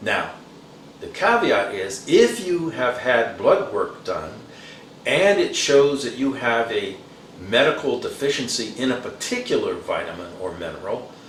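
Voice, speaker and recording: A man with an American accent, fairly slow, with noticeable background noise and audible room echo. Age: 70s. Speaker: Vietnam combat veteran, fitness channel host. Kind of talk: casual talk to camera, fitness advice. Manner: frequent fillers and hesitations.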